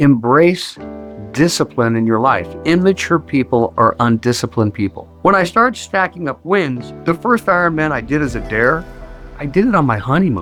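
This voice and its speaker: A man's fairly high voice moves through very wide pitch swings at a moderate pace. Music plays in the background. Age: 70s. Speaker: endurance athlete, retired Air Force pararescueman, coach. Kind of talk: interview answer.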